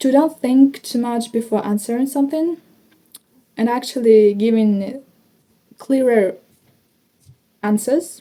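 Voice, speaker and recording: At a fairly slow pace with long, frequent pauses, a woman with a high voice and a dark, mellow tone speaks with a Ukrainian accent and ordinary pitch variation. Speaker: English learner vlogger. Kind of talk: speaking practice monologue. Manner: slow, hesitant.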